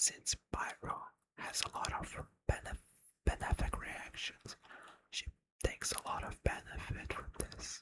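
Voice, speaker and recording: Whispering from a man at a fairly slow pace, with long, frequent pauses. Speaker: ASMR gaming creator. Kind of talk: ASMR game guide explanation. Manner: whispered, soft-spoken.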